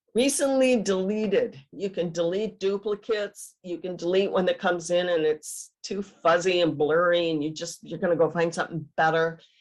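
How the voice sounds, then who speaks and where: Hardly any pauses, ordinary pitch variation, and an Upper Midwest accent. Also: woman, fairly low pitch for a woman, moderate pace. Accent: Upper Midwest American. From Michigan, USA. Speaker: genealogist, retired teacher. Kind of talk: webinar presentation.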